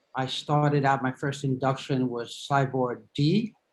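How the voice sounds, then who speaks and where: Speaking at a very slow pace, the man has a fairly high voice. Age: 70s. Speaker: patient with multiple myeloma. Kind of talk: testimony.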